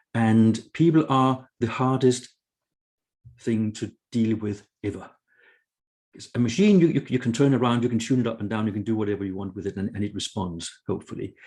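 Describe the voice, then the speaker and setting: A man with a Danish accent, medium in pitch, fairly quick, with ordinary pitch variation. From Denmark. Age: 60s. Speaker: author and consultant. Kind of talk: interview conversation.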